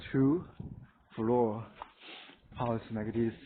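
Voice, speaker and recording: A man with a Chinese accent at a very slow pace, with fairly even intonation. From rural China. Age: 30s. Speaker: vlogger. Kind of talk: casual home tour. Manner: halting.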